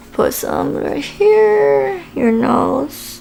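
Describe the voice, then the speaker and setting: A woman speaking over noticeable background noise. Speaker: beauty vlogger. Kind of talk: makeup tutorial. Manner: casual, hesitant with fillers.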